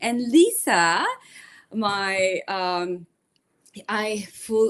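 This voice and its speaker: A woman talks at a medium pitch with fairly even intonation. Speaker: raw vegan channel host. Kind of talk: interview host talk.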